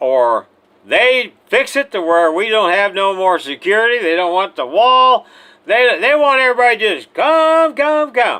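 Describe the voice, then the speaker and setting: An extremely high-pitched man's raised, projected voice, bright and sharp in tone and animated, with very wide pitch swings at a fairly slow pace. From Missouri, US Midwest. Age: 70s. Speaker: retired army sergeant major, political commentator. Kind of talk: political rant.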